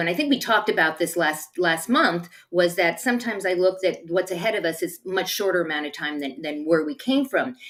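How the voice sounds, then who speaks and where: With lively intonation and hardly any pauses, an unremarkable speaking voice talks at a fairly quick pace. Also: woman. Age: 60s. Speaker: talk show co-host. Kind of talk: casual chat.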